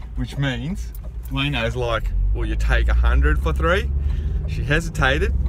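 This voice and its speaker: The sound is dry with no echo, though loud background noise fills the recording. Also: man. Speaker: driver vlogger. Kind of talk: casual vlog chat. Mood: cheerful, laughing. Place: car. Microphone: phone near.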